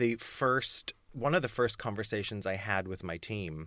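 A man speaks fairly slowly at a fairly low pitch, with ordinary pitch variation and a bright, sharp tone. The recording is very clean, with a silent background. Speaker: voice coach and rehabilitation specialist. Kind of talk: casual interview chat about vocal injury. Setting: small podcast booth, in person.

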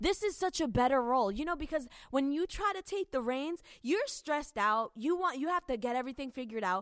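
A woman speaks at a moderate pace in a high, animated voice with very wide pitch swings. The recording is very clean, with a silent background. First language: not English. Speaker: evangelist podcast host. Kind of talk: casual talk on marriage.

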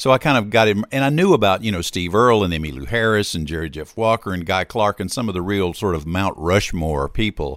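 A man with a Southern US accent speaks at a fairly low pitch and a fairly quick pace, with lively intonation. The recording is very clean, with a silent background. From US South, Hattiesburg, Mississippi. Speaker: musician. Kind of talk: casual interview. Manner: chatty.

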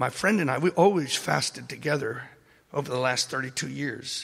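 A man speaks with vocal fry. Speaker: pastor. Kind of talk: panel discussion. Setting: stage with audience.

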